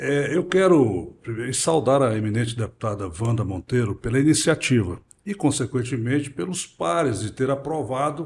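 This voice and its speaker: At a moderate pace and medium pitch, a man speaks with lively intonation and a somewhat breathy quality, hardly pausing at all. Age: 60s. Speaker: prostate cancer survivor. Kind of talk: interview. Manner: halting.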